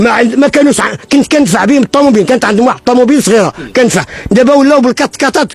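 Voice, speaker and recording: Noticeable background noise runs under a man talking at a very fast pace. His pitch is extremely high, with ordinary variation. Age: 70s. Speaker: building contractor. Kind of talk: interview testimony. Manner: emotional, repetitive.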